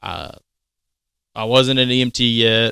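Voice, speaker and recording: Speaking with a Southern US accent, the voice has a bright, sharp tone in a dry, close sound with no echo and a very clean recording with a silent background. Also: man. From Mississippi. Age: 30s. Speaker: firefighter. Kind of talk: casual chat.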